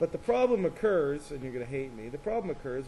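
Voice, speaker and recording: Talking at a very fast pace, a man uses lively intonation at a medium pitch. Audible room echo fills the recording. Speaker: math teacher. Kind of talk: classroom lecture. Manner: casual; loud.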